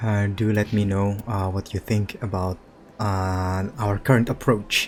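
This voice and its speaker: A man with a non-native accent speaks at a fairly low pitch and a fairly slow pace. His intonation is monotone and flat. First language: not English. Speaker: gaming youtuber. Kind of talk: casual chat; reading aloud. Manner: halting; narration style, imitating voice actor.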